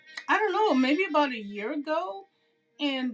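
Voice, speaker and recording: Music is playing in the background. Over it, a woman talks. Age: 60s. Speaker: craft video creator. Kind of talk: tutorial. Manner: casual, hesitant with many fillers.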